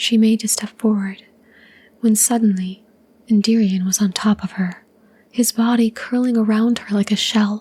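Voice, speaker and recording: A soft-spoken, somewhat breathy woman with a dark, mellow tone, fairly high pitch, monotone, flat intonation and long, frequent pauses. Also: moderate pace. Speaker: ASMR channel host and story reader. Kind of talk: calm narration of a fantasy short story.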